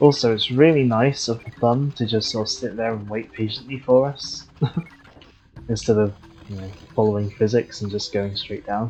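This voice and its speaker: A moderate pace, with music in the background. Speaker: video game streamer. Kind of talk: live gameplay commentary. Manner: casual, with fillers and self-corrections.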